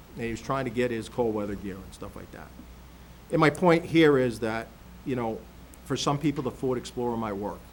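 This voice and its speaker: A man at a medium pitch talks at a fairly quick pace yet with long, frequent pauses, his pitch varying in an ordinary way while his loudness swings widely. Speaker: county sheriff presenting budget. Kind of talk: budget presentation at public meeting. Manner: fast.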